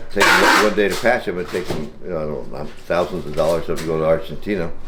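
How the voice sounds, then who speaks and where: Through noticeable background noise and audible room echo, a man speaks at a very fast pace in a very deep, low pitch with ordinary pitch variation. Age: 70s. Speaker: fiberglass parts business owner. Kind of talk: casual chat. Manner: halting.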